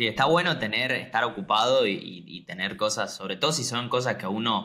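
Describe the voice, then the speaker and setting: A man with an Argentine accent and a bright, sharp tone speaks at a moderate pace with lively intonation and hardly any pauses. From Argentina, Mendoza province. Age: 20s. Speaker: graphic designer. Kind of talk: interview.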